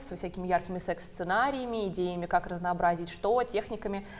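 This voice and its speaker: There is noticeable background noise. A woman speaks at a medium pitch with ordinary pitch variation. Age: 20s. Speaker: psychologist-sexologist. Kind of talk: talk-show discussion.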